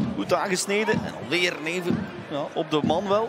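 A man with a Flemish accent, high-pitched and excited in tone, talking at a fairly slow pace amid noticeable background noise. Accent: Belgian Dutch (Flemish). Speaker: football match commentator. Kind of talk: live sports commentary. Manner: excited exclamations on chances and goals.

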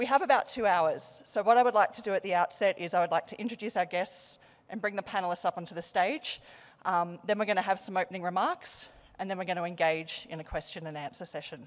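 Speaking at a very fast pace, a woman with an Australian accent uses ordinary pitch variation. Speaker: panel moderator, policy researcher; panel moderator. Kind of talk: panel moderation. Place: hall. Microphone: podium.

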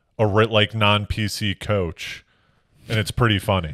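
Bright and sharp in tone, the voice carries an American accent with ordinary pitch variation, recorded dry with no echo against a quiet background. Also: man. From Connecticut. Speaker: stand-up comedian, comedy show host. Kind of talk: casual chat. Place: home room. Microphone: handheld.

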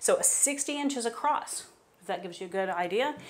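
The pace is moderate. The speaker is a woman. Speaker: contractor. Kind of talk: home tour explanation. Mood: enthusiastic. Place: bathroom. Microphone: lapel.

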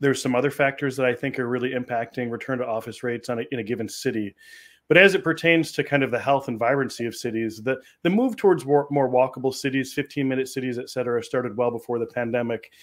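Against a quiet background, a man talks very fast with fairly even intonation. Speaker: remote guest. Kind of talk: interview answer. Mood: friendly, engaged. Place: home room.

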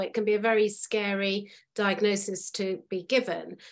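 A woman with a British accent is heard against a quiet background. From United Kingdom. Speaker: podcast host. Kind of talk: podcast interview. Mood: earnest, empathetic. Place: home room. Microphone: video call.

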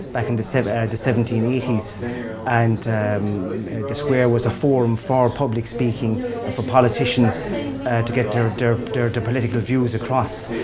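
Over music in the background, a man speaks at a moderate pace. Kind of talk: interview answer. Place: bar. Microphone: lapel.

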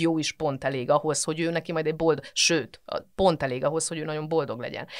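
A woman's very deep, low voice at a very fast pace, with ordinary pitch variation over a quiet background. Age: 40s. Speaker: physicist and mental health professional; podcast guest. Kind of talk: casual interview chat. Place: studio.

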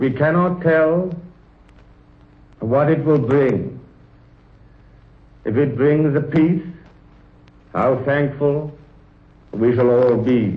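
Speech comes at a very slow pace with long, frequent pauses, somewhat breathy, with very even loudness and ordinary pitch variation. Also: man, fairly high pitch for a man. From England. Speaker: head of state. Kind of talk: royal radio address. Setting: 1930s radio broadcast. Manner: slow, deliberate. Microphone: old recording.

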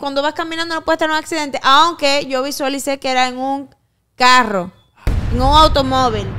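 The voice is raised and projected. It moves at a moderate pace with ordinary pitch variation. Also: woman. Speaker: psychic and show host. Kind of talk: casual chat. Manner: playful, teasing. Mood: serious, dramatic predictions. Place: studio. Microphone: studio mic.

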